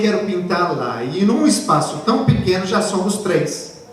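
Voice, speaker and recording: A man speaks at a fairly slow pace in an animated tone, with audible room echo and noticeable background noise. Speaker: pastor. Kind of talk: sermon.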